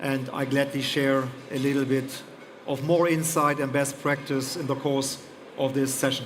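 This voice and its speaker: A man with a German accent speaks at a fairly high pitch in a flat monotone, with audible room echo and noticeable background noise. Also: moderate pace. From Germany. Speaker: airport executive. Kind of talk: panel discussion. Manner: hesitant, many fillers.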